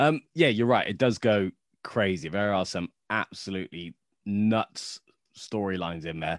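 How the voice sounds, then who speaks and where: In a very clean recording with a silent background and a dry, close sound with no echo, a man speaks at a fairly low pitch with a British accent. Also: ordinary pitch variation, moderate pace. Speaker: Star Wars comics historian. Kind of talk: casual interview.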